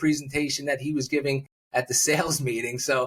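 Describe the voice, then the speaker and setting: A man speaking at a fairly quick pace. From New Jersey. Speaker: public speaking coach. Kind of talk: interview conversation. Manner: fast.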